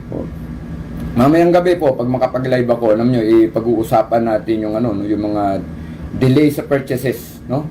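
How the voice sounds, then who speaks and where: A medium-pitched man at a moderate pace, lively in intonation, amid noticeable background noise. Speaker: livestream host. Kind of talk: casual livestream talk. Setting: livestream on camera.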